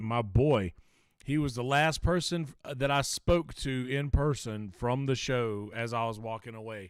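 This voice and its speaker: A man with a Lowcountry accent, medium in pitch with ordinary pitch variation, at a moderate pace on a very clean recording with a silent background. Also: big swings in loudness. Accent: low country. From South Carolina, low country. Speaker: podcast co-host. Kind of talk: casual chat.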